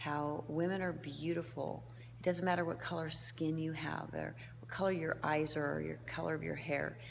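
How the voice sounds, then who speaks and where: A woman speaks softly. Room echo is audible around her voice. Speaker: humanitarian volunteer. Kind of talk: video diary. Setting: indoors in a foyer at night. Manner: soft-spoken.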